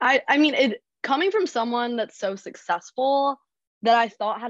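A woman speaks at a moderate pace with an American accent, her pitch rising and falling in an ordinary way. It's a plain, everyday voice, recorded dry and close with no echo against a quiet background. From North Carolina, Charlotte. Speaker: recent graduate. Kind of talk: interview. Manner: casual, many fillers.

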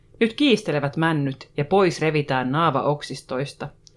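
Very deep, low pitch from a woman, delivered fairly slowly. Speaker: podcast host. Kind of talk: casual podcast banter.

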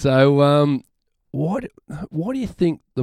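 On a very clean recording with a silent background and a dry, close sound with no echo, a man speaks at a very slow pace with very wide pitch swings. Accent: Australian. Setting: studio.

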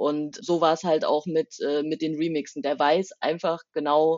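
The woman's pitch is very deep and low. She talks at a moderate pace. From eastern Germany, Saxony near Leipzig. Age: 30s. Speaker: rapper and university language lecturer. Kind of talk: interview.

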